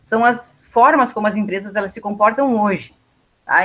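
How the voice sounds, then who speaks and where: A woman is speaking. Her voice sits fairly high in pitch. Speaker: university lecturer. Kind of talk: lecture. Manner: fast.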